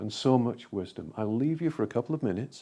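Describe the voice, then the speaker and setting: Medium pitch and a dark, mellow tone from a man, over a quiet background. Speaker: trance medium and guided meditation leader. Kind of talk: guided meditation. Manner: calm, slow, soothing.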